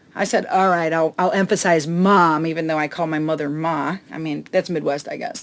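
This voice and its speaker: A woman with a slight Chicago accent and fairly low pitch speaks at a moderate pace, her intonation fairly even, with hardly any pauses. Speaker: comedian. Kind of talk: casual chat. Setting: on a boat in a harbor.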